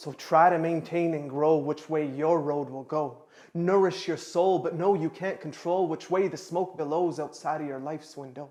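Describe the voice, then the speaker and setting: A man with an ordinary speaking voice talks at a moderate pace and fairly high pitch, with fairly even intonation and hardly any pauses. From Canada. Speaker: spoken word poet. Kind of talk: spoken word performance.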